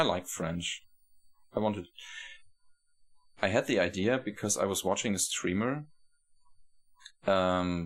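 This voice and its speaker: Pausing long and often, a man speaks at a fairly slow pace with fairly low pitch and ordinary pitch variation, on a very clean recording with a silent background. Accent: German. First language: German. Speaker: video game streamer. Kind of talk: live gameplay commentary. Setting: live stream. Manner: halting, self-correcting.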